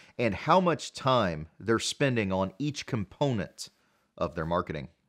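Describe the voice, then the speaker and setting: A man at a fairly slow pace with lively intonation, over a quiet background. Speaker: dental marketing consultant. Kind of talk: podcast talk to camera. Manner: casual, conversational. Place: home room.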